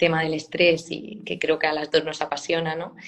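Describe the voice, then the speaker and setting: Fairly low in pitch, a woman speaks at a moderate pace. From Murcia, Spain. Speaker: clinical psychologist and university lecturer. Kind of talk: live stream interview.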